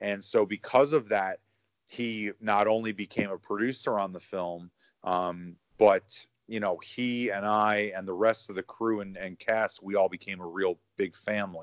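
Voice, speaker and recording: A plain, everyday voice: a man with an American accent speaks at a moderate pace with fairly low pitch and fairly even intonation, in a dry, close sound with no echo and a quiet background. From Chicago, US Midwest. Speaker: indie horror filmmaker. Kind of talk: casual interview. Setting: remote call from home.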